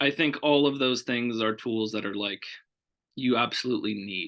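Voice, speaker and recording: Loud and bright with a sharp tone, a man speaks at a medium pitch and a moderate pace, with ordinary pitch variation over a quiet background. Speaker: foster care program director. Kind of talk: interview.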